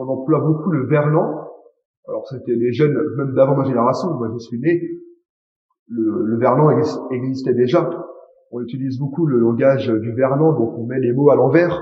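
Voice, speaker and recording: A man talks at a moderate pace and a medium pitch, with ordinary pitch variation. He leaves long, frequent pauses, and audible room echo can be heard. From France, Paris. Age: young. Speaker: interviewee, native French speaker. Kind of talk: interview.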